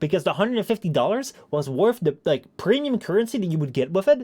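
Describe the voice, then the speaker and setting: The speaker is a man. His pitch moves in very wide swings. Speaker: streamer. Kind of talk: casual chat. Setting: live stream. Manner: fast.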